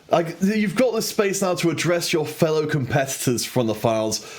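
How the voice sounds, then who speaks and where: This man talks at a moderate pace with a British accent. His intonation is lively. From Britain. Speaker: esports caster. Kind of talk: post-match interview.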